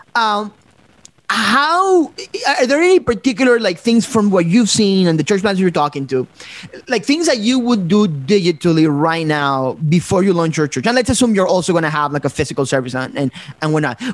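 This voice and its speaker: The voice moves at a fairly quick pace. Its pitch swings very widely. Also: man, high pitch for a man. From Ecuador. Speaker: guest host, church planter. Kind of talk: interview webcast.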